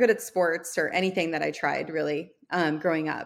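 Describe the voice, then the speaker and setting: A woman is speaking. She keeps a moderate pace. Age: 40s. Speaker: entrepreneur and podcast host. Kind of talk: interview.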